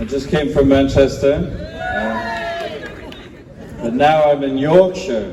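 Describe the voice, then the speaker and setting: Noticeable background noise and audible room echo surround a man with a fairly high pitch. He speaks at a very slow pace with long, frequent pauses and ordinary pitch variation. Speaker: hostage family member, campaigner. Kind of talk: rally speech. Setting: memorial rally with audience.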